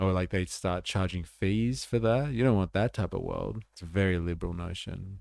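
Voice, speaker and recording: In an Australian accent, a voice moves at a moderate pace with ordinary pitch variation on a very clean recording with a silent background. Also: man, very deep, low pitch for a man. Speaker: political livestreamer. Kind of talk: casual livestream commentary. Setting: livestream. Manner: animated.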